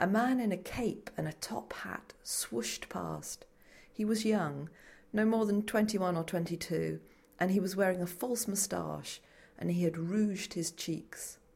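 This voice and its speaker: A woman's somewhat breathy, medium-pitched voice at a fairly slow pace, with ordinary pitch variation. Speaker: audiobook narrator. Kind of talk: literary audiobook reading of a mystery story, scripted narration.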